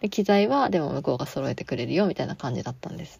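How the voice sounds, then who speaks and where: A very fast-talking woman with a fairly low pitch, very wide pitch swings and a dark, mellow tone, in a very clean recording with a silent background. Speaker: podcast host and part-time theatre actor. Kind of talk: casual solo podcast talk. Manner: low-energy; frequent fillers.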